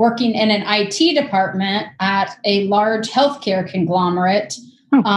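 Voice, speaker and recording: Speech comes at a fairly slow pace over light background noise, with audible room echo. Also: woman, ordinary pitch variation. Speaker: guest. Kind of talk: interview answer. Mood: relaxed, friendly. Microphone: video call.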